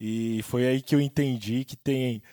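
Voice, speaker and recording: This man speaks at a very slow pace with a medium pitch and fairly even intonation. The sound is dry and close with no echo, on a very clean recording with a silent background. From Brazil, São Paulo state (Ribeirão Preto). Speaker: musician and real estate agent, podcast co-host. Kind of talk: casual chat.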